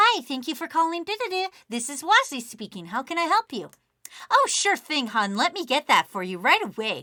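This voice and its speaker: In a put-on character voice, a woman speaks at a moderate pace in a high pitch with very wide pitch swings. Her loudness swings widely, and the sound is dry and close with no echo. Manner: sweet, customer-service, over-friendly.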